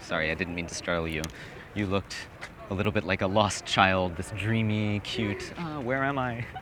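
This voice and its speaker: Against noticeable background noise, a man with an American accent speaks at a moderate pace, his pitch fairly low with ordinary variation. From Hawaii. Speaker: dating coaching student. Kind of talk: street conversation, approaching a stranger. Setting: outdoors in a city square.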